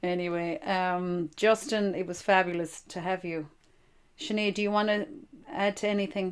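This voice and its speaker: With an Irish accent, a woman speaks at a moderate pace and medium pitch, her pitch varying in an ordinary way. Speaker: podcast host. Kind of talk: casual chat.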